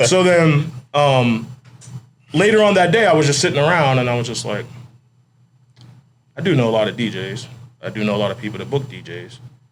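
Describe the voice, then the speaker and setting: A man at medium pitch talks at a fairly quick pace with lively intonation and big swings in loudness. He leaves long, frequent pauses, and audible room echo surrounds his voice. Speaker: nightlife DJ company owner. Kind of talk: casual chat. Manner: laid-back.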